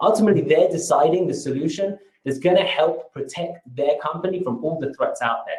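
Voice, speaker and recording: A man with a British accent and a high pitch. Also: ordinary pitch variation, fairly quick pace. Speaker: marketing presenter. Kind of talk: webinar presentation. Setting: webinar. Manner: energetic.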